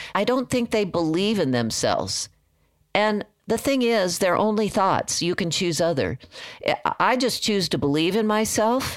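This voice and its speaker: Recorded very cleanly with a silent background, a woman speaks in a normal speaking voice at a medium pitch and a fairly slow pace. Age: 60s. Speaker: portrait photographer. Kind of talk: interview.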